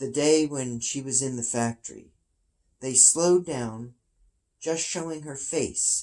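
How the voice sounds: In a natural reading voice, the speaker uses ordinary pitch variation against a quiet background.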